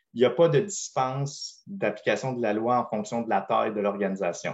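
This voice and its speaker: A man's normal speaking voice at medium pitch, lively intonation and a fairly quick pace, against a quiet background. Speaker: privacy consultant presenting on a webinar panel. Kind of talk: webinar presentation.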